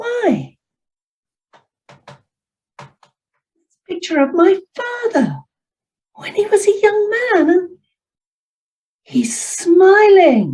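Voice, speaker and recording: A woman does a squeaky, put-on character voice at an extremely high pitch, with lively intonation, big swings in loudness, a very slow pace and long, frequent pauses. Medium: read story.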